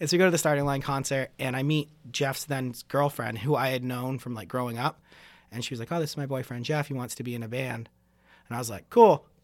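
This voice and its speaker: A man with an American accent at a medium pitch, ordinary pitch variation and a very fast pace. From Maine, US. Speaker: drummer. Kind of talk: casual chat.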